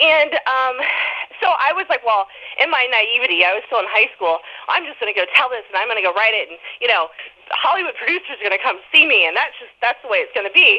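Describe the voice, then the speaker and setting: A woman talks at a very fast pace and a high pitch, with very wide pitch swings and big swings in loudness. Noticeable background noise is present. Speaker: author. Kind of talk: interview.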